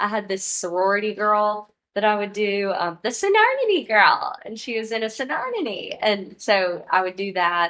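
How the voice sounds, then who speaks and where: A woman speaks at a fairly high pitch with ordinary pitch variation. She keeps a moderate pace with hardly any pauses. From Mississippi (Hattiesburg), US South. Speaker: comedian. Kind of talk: casual chat.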